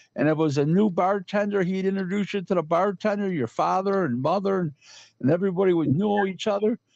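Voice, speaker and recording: A man speaks with a high pitch and lively intonation. His tone is animated. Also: quiet background. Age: 60s. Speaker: boxing talk show host. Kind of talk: casual chat.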